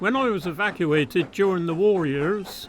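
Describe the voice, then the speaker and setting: Over noticeable background noise, a man with a high pitch speaks with lively intonation. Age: 80s+. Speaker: retired railway fireman and photographer. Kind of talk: oral history interview. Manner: hesitant, with frequent fillers.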